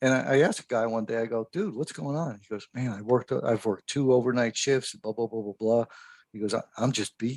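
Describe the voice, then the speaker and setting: Talking fairly quickly, a man has an unremarkable speaking voice, a mid-range pitch and ordinary pitch variation. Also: dry, close sound with no echo. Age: 60s. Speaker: fire service instructor. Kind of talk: podcast interview. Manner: casual.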